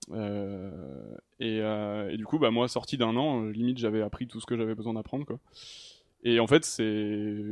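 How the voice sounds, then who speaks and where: A man talks in a plain, everyday voice, pitched fairly low. His pace is fairly slow and his pitch varies in an ordinary way. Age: 30s. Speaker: video game programmer. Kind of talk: casual chat.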